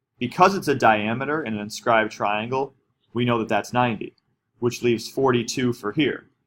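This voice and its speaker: At a fairly quick pace, a man speaks in a plain, everyday voice, with medium pitch and ordinary pitch variation. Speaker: math teacher. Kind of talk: tutorial.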